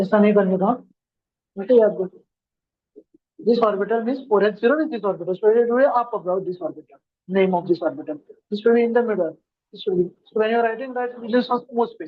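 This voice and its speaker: The delivery is fairly quick but broken up by long, frequent pauses. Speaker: chemistry teacher. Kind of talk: classroom lecture. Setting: classroom.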